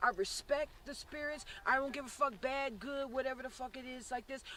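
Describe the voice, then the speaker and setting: At a moderate pace, a woman uses a raised, projected voice with a bright, sharp tone. Her pitch is high, with ordinary pitch variation. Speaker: paranormal investigator. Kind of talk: on-site ghost investigation talk. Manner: halting, repeats words.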